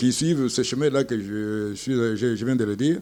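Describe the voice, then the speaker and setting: A man's voice with ordinary pitch variation. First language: Tshiluba (speaking French). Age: old. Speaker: retired airline pilot. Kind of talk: interview. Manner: halting.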